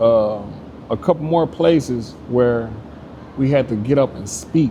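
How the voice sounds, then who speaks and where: A man with a medium pitch at a fairly slow pace, ordinary pitch variation, and noticeable background noise. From US South, Arkansas. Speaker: credit repair business owner. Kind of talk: interview, personal life story. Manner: casual, halting with fillers.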